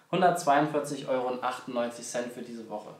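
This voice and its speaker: A man is speaking. Room echo can be heard. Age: 20s. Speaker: travel vlogger. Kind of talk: casual travel vlog narration. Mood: relaxed, friendly. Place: home room.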